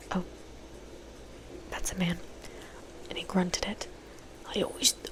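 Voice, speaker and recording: A whisper at a moderate pace, with noticeable background noise. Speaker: ASMR creator, book reader. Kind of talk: book reading aloud with character voices. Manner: soft-spoken, whispery, casual, chatty.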